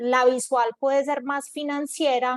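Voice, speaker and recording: A woman with a Medellín accent speaks at a high pitch and a fairly slow pace. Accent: Medellín (paisa). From Colombia, Medellín. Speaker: corporate innovation executive. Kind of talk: panel discussion.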